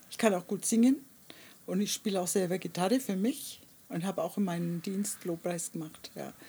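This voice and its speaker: A woman speaks with a dark, mellow, somewhat breathy tone at a medium pitch. She keeps a moderate pace with ordinary pitch variation. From Germany, Nuremberg area. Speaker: artist. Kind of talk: interview. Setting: outdoors in a garden.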